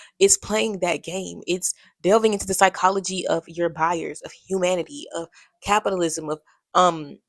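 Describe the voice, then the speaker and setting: A woman talks at a moderate pace with a medium pitch and ordinary pitch variation. The sound is dry and close, with no echo. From US South (Alabama, Birmingham). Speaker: podcast host. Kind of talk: solo podcast monologue. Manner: casual, conversational; halting at times.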